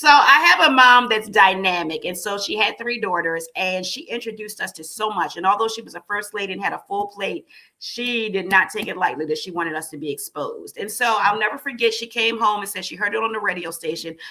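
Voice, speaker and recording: Amid noticeable background noise, a woman talks at a fairly quick pace with hardly any pauses, her medium-pitched voice animated, with lively intonation and big swings in loudness. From Baltimore, US. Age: 50s. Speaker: pageant organizer. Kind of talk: interview.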